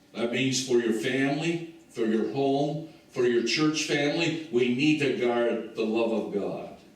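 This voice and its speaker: Noticeable background noise and audible room echo surround a man's voice. He has a medium pitch and ordinary pitch variation, and speaks at a fairly slow pace. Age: 70s. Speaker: pastor. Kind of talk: sermon. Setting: church.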